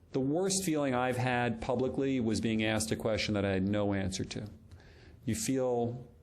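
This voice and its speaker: A man speaks at a medium pitch with ordinary pitch variation and very even loudness, with audible room echo. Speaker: doctor and lecturer on presentations. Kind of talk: lecture. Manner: fast.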